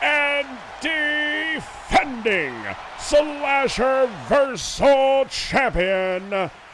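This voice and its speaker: Against noticeable background noise, a man talks very slowly at an extremely high pitch with lively intonation. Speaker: ring announcer. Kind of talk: wrestling ring announcement.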